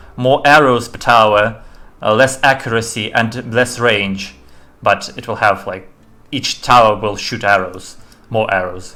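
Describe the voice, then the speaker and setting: At a moderate pace, a man with a non-native accent speaks in a bright, sharp tone with fairly even intonation. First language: not English. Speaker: indie game developer; game streamer. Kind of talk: live-stream game demo commentary. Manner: halting, many fillers and restarts.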